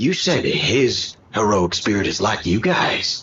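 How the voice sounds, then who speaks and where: Putting on a raspy character voice at medium pitch, a man speaks at a fairly slow pace. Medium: video game. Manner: gruff, blunt.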